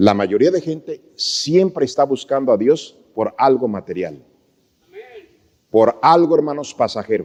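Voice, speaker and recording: Speaking in a plain, everyday voice, this man talks at a fairly slow pace with a fairly high pitch and lively intonation. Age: 60s. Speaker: pastor. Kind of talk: sermon.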